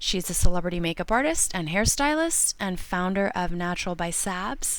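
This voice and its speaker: The intonation here is lively and the pace moderate. It is a plain, everyday voice. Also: woman, medium pitch for a woman. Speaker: podcast host. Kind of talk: podcast intro.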